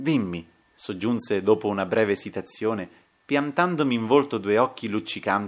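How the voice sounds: The clip has a natural reading voice. The voice reads naturally throughout.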